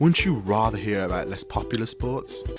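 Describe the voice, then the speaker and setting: A man is speaking. Music plays in the background. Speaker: student radio presenter. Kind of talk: radio station promo read.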